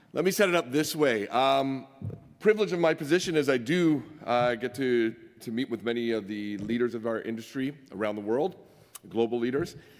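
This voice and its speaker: A man's medium-pitched, fairly quick voice with lively intonation, amid noticeable background noise. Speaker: mining industry executive. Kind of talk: conference presentation. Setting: stage with audience. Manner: loud.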